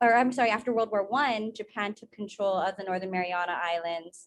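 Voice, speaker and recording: A woman in a Guam accent, her intonation fairly even. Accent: Chamorro Guam English. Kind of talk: conference presentation. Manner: halting.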